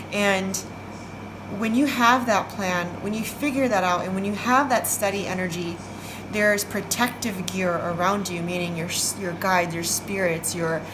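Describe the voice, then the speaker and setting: Moderate-paced speech from a woman, audible room echo, noticeable noise in the background. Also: medium pitch for a woman, ordinary pitch variation. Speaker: tarot card reader. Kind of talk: psychic reading.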